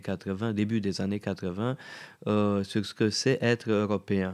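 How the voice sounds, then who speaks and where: On a very clean recording with a silent background, a man speaks with a Romanian accent. His fairly low voice moves at a fairly slow pace with fairly even intonation. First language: Romanian (speaking French). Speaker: radio host. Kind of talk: interview. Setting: studio. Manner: halting.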